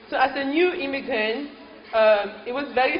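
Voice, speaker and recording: A woman speaks at a high pitch with a French accent. Background noise is noticeable. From Cameroon, French-speaking part. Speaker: guest speaker. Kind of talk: speech to an audience.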